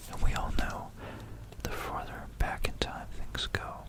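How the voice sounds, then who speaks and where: Amid noticeable background noise, a whisper moves at a fairly slow pace. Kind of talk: ASMR history talk. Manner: whispered.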